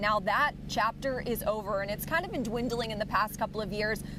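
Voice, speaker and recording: Over noticeable background noise, a woman with a fairly high voice talks at a very fast pace with ordinary pitch variation. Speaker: sports broadcaster. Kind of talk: live co-hosting discussion.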